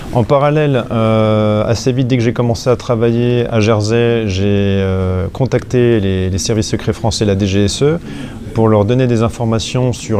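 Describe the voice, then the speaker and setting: A man speaks at a fairly low pitch with fairly even intonation. Noticeable background noise can be heard. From eastern France, Franche-Comté. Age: 40s. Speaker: whistleblower, financial investigator. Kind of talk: interview.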